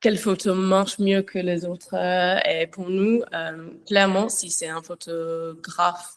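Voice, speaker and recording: A woman speaks at a very slow pace with an English accent. The background is quiet. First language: English (speaking French). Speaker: château owner and social media creator. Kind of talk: panel talk. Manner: halting, many hesitations.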